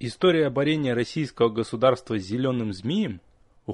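A passage read aloud in a natural voice

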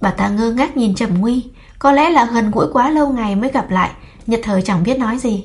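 Ordinary pitch variation in plain reading aloud.

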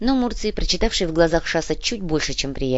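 The voice is an unforced reading voice. It reads in that manner throughout.

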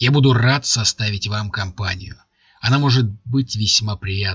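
Ordinary pitch variation in a natural reading voice, quiet background behind it

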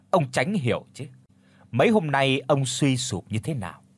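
The intonation stays lively throughout this plain reading aloud.

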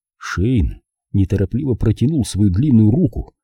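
The background is quiet as someone is reading aloud in a natural voice, the intonation lively throughout.

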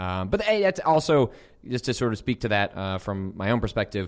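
A man talks at a fairly quick pace in a normal speaking voice, fairly low in pitch with lively intonation. The recording is very clean, with a silent background. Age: 30s. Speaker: video game journalist and podcast host. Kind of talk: casual chat. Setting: studio.

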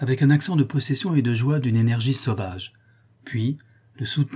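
A natural voice reading aloud

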